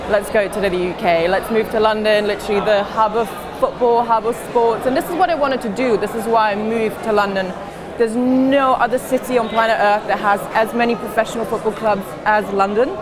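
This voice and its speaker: A woman in a British accent, fairly high in pitch and fairly quick, with ordinary pitch variation, audible room echo and crowd noise in the background. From Germany (Munich), Croatian parents. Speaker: football reporter and documentary filmmaker. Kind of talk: casual interview on stage. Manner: animated.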